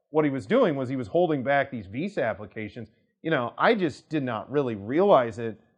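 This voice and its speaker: The speaker has a Kansas accent and lively intonation. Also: man. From US, Kansas. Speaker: immigration attorney. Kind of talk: casual talk to camera. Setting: studio to camera. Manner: conversational, many fillers.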